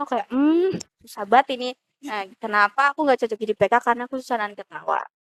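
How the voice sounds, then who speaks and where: Here a woman talks at a very fast pace, with a high pitch and ordinary pitch variation. The sound is dry and close, with no echo. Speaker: university student, orientation participant. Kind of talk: casual chat. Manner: animated.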